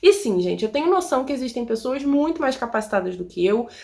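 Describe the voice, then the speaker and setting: A woman with a high-pitched voice speaks with very wide pitch swings. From Rio de Janeiro, Brazil. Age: 20s. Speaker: immigrant vlogger. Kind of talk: casual talk to camera.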